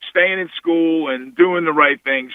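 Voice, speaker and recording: A man's plain, everyday voice with an American accent, fairly high in pitch, lively in intonation and moderate in pace. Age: 60s. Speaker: basketball coach. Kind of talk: radio interview.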